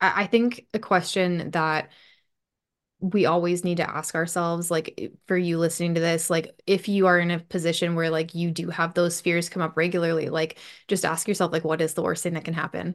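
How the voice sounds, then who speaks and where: Against a quiet background, a woman with an American accent and a fairly low pitch speaks at a moderate pace in a monotone, flat intonation. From US Upper Midwest, Bismarck, North Dakota. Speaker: hairstylist and Instagram marketing coach. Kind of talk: casual interview chat.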